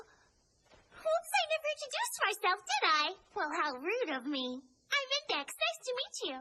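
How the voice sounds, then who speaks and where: A woman puts on a squeaky character voice at an extremely high pitch, swinging very widely in pitch with an energetic tone at a moderate pace. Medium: fan dub. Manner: earnest, energetic.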